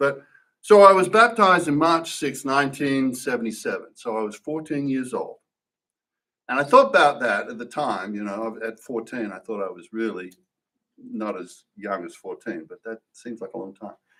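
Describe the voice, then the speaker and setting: At a moderate pace, a speaker with an Australian accent uses very wide pitch swings and big swings in loudness. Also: man. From Australia, Perth, Western Australia. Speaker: church member giving testimony. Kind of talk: testimony. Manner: halting, many fillers and restarts.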